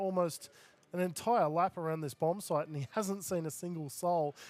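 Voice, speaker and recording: This man with an Australian accent has a high pitch and ordinary pitch variation, recorded with a dry, close sound and no echo. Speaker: esports caster. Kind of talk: live commentary. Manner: fast.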